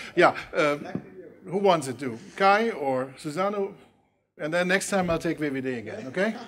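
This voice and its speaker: Lively intonation in a Dutch accent, at a moderate pace with long, frequent pauses. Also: man, high pitch for a man. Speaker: university official moderating debate. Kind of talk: panel debate. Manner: halting.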